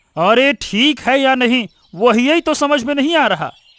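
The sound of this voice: Putting on a cartoonish character voice, a man speaks at an extremely high pitch with a fairly bright tone and lively intonation at a fairly slow pace.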